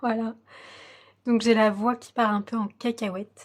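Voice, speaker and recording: Somewhat breathy and fairly high, a woman's voice stays monotone and flat. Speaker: coloring hobby youtuber. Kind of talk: tutorial. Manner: slow, breathless.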